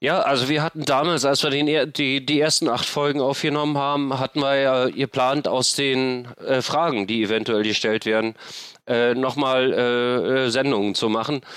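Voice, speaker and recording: Loudness stays very even as a man speaks at a medium pitch. His pace is moderate and his intonation fairly even. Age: 50s. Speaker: homelessness activist and podcaster. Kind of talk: interview. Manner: halting, many fillers.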